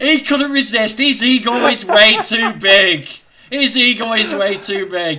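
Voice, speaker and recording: A man speaks in a raised, projected voice at an extremely high pitch, with ordinary pitch variation. His pace is fairly slow, and background noise is noticeable. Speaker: vegan livestream host. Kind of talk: casual livestream interview talk.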